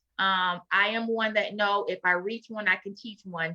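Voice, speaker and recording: In a Florida accent, a woman speaks at medium pitch in a bright, sharp tone with fairly even intonation. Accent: Southern drawl, Florida twang. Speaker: author. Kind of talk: interview.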